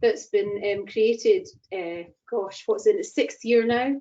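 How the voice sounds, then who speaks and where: This woman has a Scottish accent. Her pitch varies in an ordinary way. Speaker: chair of a rail industry network. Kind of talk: online event introduction.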